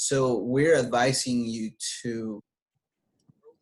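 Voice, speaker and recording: A man speaks at a medium pitch. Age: 40s. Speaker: bank executive. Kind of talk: interview. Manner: halting.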